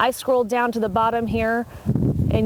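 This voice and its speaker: A woman speaks over noticeable background noise. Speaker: TV news reporter. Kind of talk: TV news field report. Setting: outdoors, live on location.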